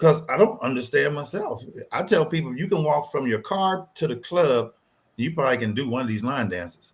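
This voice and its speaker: With lively intonation and a fairly quick pace, a man speaks in a somewhat breathy voice at a fairly high pitch. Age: 60s. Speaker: line dance instructor. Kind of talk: interview.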